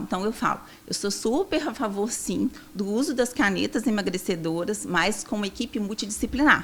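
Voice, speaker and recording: In a strong Minas Gerais accent, a woman talks at a moderate pace with a fairly high pitch. Her tone is bright and sharp, and her pitch variation is ordinary. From Minas Gerais, Brazil. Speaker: nutritionist. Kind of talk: podcast interview.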